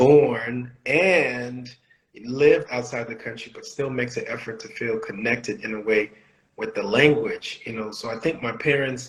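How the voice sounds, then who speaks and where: Loudness swings widely as a man speaks at a moderate pace. His intonation stays fairly even. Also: medium pitch for a man. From Bahamas, Nassau, Haitian family. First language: Haitian Creole. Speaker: podcast co-host. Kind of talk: casual chat.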